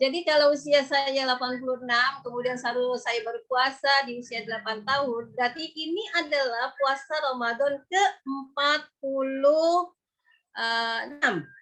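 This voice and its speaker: A woman speaks at a fairly slow pace in a high pitch with a bright, sharp tone. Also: ordinary pitch variation. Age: 50s. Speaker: religious preacher. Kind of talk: religious lecture. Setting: video call. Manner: conversational.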